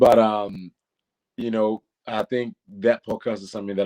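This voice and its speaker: A man's fairly low, dark, mellow voice at a moderate pace, dry and close with no echo, on a very clean recording with a silent background. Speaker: reality TV contestant and content creator. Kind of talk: interview. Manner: talkative.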